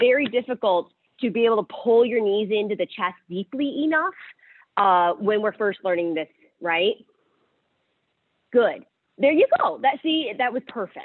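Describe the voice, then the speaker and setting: Loud and fairly high-pitched, a woman speaks at a moderate pace. Her pitch swings very widely. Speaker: yoga teacher. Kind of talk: guided yoga class instruction. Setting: livestreamed yoga class.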